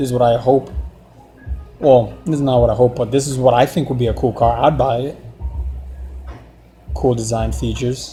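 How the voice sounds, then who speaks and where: With a non-native accent, the speaker talks at a moderate pace in a monotone, flat intonation, leaving long, frequent pauses. Music plays in the background. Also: man, medium pitch for a man. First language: not English. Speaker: artist and car design vlogger. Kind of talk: casual monologue while drawing. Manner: halting, many restarts and fillers.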